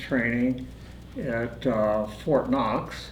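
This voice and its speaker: With a Midwestern US accent, a man talks at medium pitch amid audible room echo. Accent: US Midwest. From Indiana. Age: 70s. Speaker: war veteran. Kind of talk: interview. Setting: studio. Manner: halting, many filler words.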